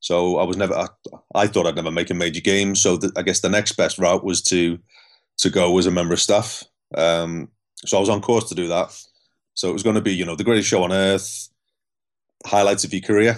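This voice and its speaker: A man with a Scouse accent and a very deep, low pitch talks at a fairly quick pace with fairly even intonation. He leaves long, frequent pauses against a quiet background. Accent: Scouse (Liverpool) English. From Liverpool, England. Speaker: elite cyclist and performance psychologist. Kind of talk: interview storytelling.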